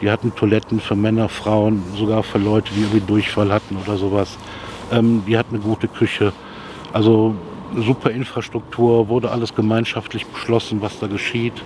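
Over noticeable background noise, a man with a fairly low pitch speaks at a fairly quick pace in a monotone, flat intonation. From Rhineland, Germany (Jülich). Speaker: local resident. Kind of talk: street interview. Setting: outdoors.

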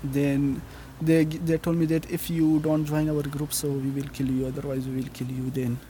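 Somewhat breathy and dark, mellow in tone, a man speaks with monotone, flat intonation. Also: fairly high pitch for a man, moderate pace. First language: Afghan language, not English (speaking German). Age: 20s. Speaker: refugee. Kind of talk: testimony. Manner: halting.

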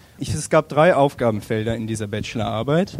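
Noticeable background noise is present as a man speaks. He keeps a moderate speed, and his intonation is lively. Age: 20s. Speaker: student who did a traffic study. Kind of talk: public panel discussion.

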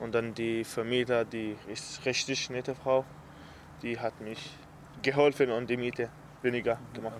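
With an Arabic accent, a man speaks at a fairly slow pace in a monotone, flat intonation, leaving long, frequent pauses. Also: medium pitch for a man. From Syria, Aleppo. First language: Arabic (speaking German). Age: 20s. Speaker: refugee and apprentice. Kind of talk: interview. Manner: halting.

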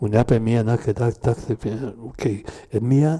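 Speaking at a very slow pace, a man with a Spanish accent has a medium pitch. His tone is dark and mellow, and somewhat breathy. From southern Chile. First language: Spanish (speaking German). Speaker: former political prisoner, witness. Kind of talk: panel talk, personal testimony. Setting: café event with audience. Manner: halting.

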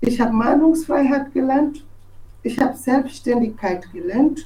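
With audible room echo, a woman speaks at a high pitch and a fairly slow pace. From Togo. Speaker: journalist. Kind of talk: personal testimony. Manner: halting, with fillers and restarts.

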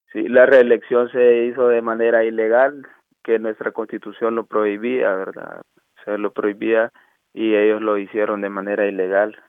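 With a Honduran accent, a man speaks at a moderate pace and medium pitch. His intonation is monotone and flat. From Honduras, Choluteca. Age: 30s. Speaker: asylum seeker and student activist. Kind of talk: interview. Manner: halting.

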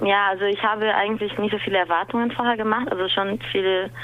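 The speaker has a Portuguese accent and a fairly quick pace. Noticeable background noise is present. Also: woman. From Brazil, São Paulo. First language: Portuguese (speaking German). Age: 20s. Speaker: dance teacher. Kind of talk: interview. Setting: remote call.

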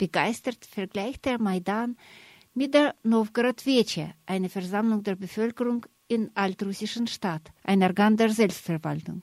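A woman with an unremarkable speaking voice and fairly high pitch speaks at a fairly slow pace with ordinary pitch variation. The recording is very clean, dry and close, with no echo and a silent background. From Russia. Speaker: radio journalist. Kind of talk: scripted narration.

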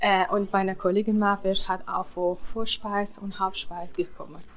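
In a Kurdish accent, a woman talks at a very slow pace with a medium pitch. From Iraqi Kurdistan. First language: Kurdish (speaking German). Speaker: cook. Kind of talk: interview. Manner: halting.

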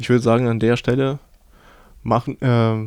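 Fairly even intonation from a man at medium pitch. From Ukraine. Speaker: radio host. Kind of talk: radio interview. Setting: radio studio.

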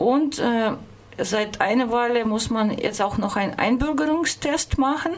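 Noticeable background noise sits behind a woman with a high pitch and ordinary pitch variation. She talks at a fairly slow pace, keeping her loudness very even. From Russia, St. Petersburg. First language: Russian (speaking German). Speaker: radio host. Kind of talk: personal account on radio. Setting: studio.

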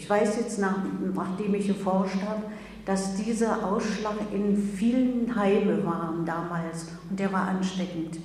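The speech is very slow and monotone, with flat intonation, audible room echo and noticeable background noise. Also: woman. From Germany, Magdeburg. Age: 70s. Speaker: Holocaust-era survivor, eyewitness. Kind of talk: public talk, testimony. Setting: lecture with audience.

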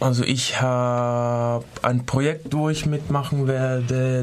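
Noticeable background noise sits behind the voice. A man talks at medium pitch and a very slow pace. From Switzerland. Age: 20s. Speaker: dance student. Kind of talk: radio interview. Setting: studio. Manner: halting.

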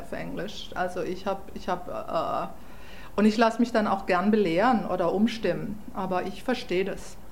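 A woman's medium-pitched voice at a moderate pace, with noticeable background noise and audible room echo. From southwestern Germany, Freiburg. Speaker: German emigrant. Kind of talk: interview.

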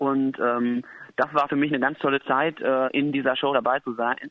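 A man with an ordinary speaking voice, fairly high pitched, at a moderate pace. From rural Germany. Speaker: musical performer. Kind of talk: interview. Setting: phone call.

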